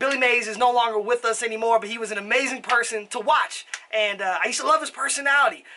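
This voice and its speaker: Light background noise sits behind the speech. A man is talking very fast. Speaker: product reviewer. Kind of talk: casual talk to camera. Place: home room.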